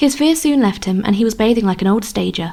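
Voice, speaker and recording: A soft-spoken, somewhat breathy woman with a fairly high pitch and lively intonation. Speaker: audiobook narrator. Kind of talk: audiobook reading.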